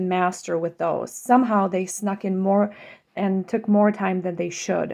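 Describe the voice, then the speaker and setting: A woman's medium-pitched voice in a Czech accent, dark and mellow, fairly even intonation, very clean recording with a silent background. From Czech Republic. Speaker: school board candidate. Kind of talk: campaign statement.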